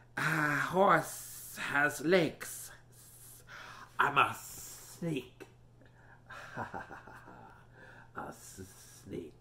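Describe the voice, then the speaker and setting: A put-on character voice at middle pitch, very slow, with long, frequent pauses and audible hissing. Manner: slithery, playful.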